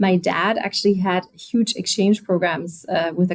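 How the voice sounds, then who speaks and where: With a German accent, a woman speaks at a medium pitch and moderate pace in a somewhat breathy voice. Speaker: automotive executive. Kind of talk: interview.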